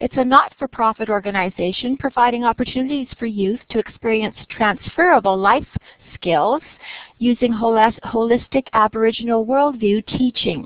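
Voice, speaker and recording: A woman with a fairly high pitch speaks at a moderate pace. She has an ordinary speaking voice, and her pitch varies in an ordinary way. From Nova Scotia, Canada. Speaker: webinar moderator. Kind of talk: webinar introduction. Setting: online webinar.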